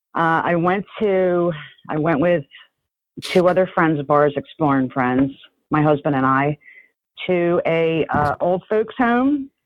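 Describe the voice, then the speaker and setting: Speaking in a New Jersey accent at a fairly slow pace, this voice has lively intonation broken by long, frequent pauses. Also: woman, fairly low pitch for a woman. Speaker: urbex photographer. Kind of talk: interview answer.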